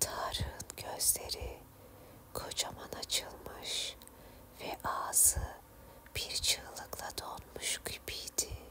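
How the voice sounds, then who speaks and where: Over noticeable background noise, someone whispers at a very slow pace. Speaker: ASMR storyteller / channel host. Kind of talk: ASMR horror story narration. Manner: soft, relaxing, whispery.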